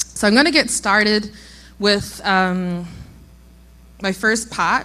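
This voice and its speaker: A woman with a New Zealand accent speaks at medium pitch in a bright, sharp tone, her pitch varying in an ordinary way. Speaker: logistics innovation executive. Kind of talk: conference talk.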